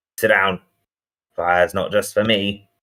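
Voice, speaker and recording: Using a gravelly, put-on character voice, a man speaks at a moderate pace and fairly low pitch. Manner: terse, gruff.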